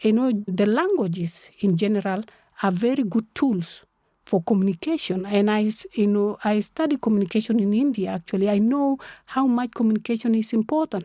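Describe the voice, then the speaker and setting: This woman has a fairly high pitch, a dark, mellow tone, ordinary pitch variation and very even loudness at a fairly quick pace. The sound is dry and close with no echo, and the recording is very clean with a silent background. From South Sudan / Sudan. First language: South Sudanese local language. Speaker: human rights activist. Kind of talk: interview conversation. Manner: animated.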